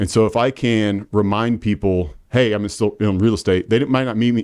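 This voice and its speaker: The man's voice sits fairly low, with a dark, mellow tone. His pitch varies in an ordinary way. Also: quiet background. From Indiana (Marion). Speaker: real estate agent. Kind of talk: casual interview. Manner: halting, many fillers.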